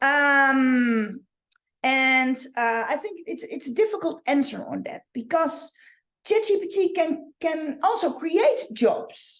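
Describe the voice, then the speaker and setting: Speaking very slowly with a Dutch accent, a woman uses a high pitch. Her pitch swings very widely, and the background is quiet. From Netherlands. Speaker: online marketing coach. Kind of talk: live training. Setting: livestream. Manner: halting. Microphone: webcam.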